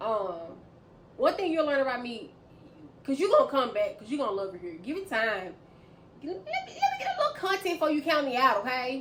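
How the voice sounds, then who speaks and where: Amid noticeable background noise, a woman speaks fairly quickly at a high pitch with very wide pitch swings, big swings in loudness, and long, frequent pauses. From US South, Memphis, Tennessee. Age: 30s. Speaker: vlogger. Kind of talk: casual vlog talk to camera. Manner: fast talker; loud, laughs a lot.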